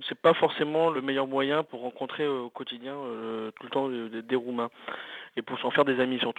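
A man's medium-pitched voice, a plain, everyday voice, at a fairly slow pace. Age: 20s. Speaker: journalist. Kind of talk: casual testimony.

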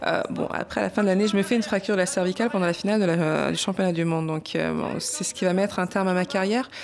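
Noticeable background noise fills the recording. Over it, words come very fast. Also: woman, medium pitch for a woman, ordinary pitch variation. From Paris, France. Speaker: boxer, champion. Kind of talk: testimony.

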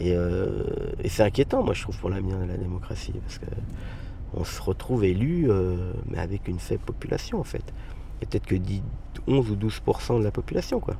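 A man is heard with audible room echo. Noticeable background noise runs through the clip. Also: moderate pace. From Garges-lès-Gonesse, Paris suburbs. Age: 40s. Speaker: local councillor. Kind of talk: interview. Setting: outdoors.

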